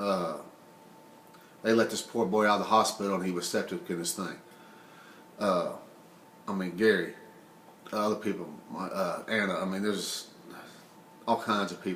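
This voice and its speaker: A man mumbles in a fairly low pitch with fairly even intonation. Audible room echo surrounds his voice. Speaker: vlogger sharing personal experience of obesity. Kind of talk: personal testimony monologue. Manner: emotional; halting, mumbling.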